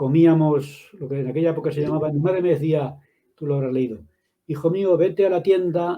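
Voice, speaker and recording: A man talks at a moderate pace, his voice somewhat breathy. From Madrid, Spain. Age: 70s. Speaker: author and religion teacher. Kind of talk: interview. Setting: live video stream.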